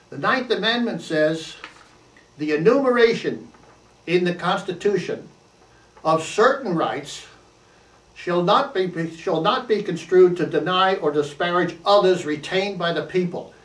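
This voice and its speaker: A man talks at a fairly slow pace in a high pitch, leaving long, frequent pauses. His pitch variation is ordinary, and audible room echo surrounds his voice. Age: 80s+. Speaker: activist and author. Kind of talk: monologue to camera. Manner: halting, frequent restarts.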